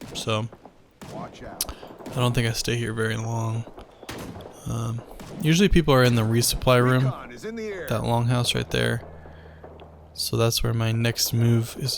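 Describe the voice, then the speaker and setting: A man talks at a fairly slow pace in a relaxed tone, his pitch medium. Noticeable background noise sits behind him. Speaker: gaming commentator. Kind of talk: gameplay commentary. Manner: monotone; casual, relaxed.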